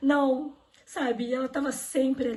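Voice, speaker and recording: This woman speaks with a high pitch. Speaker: event host. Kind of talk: online religious event hosting. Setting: online live stream.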